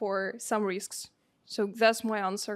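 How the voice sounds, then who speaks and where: In a very clean recording with a silent background, a woman speaks with a Russian accent. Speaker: seminar participant. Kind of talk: seminar answer. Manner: halting, many fillers.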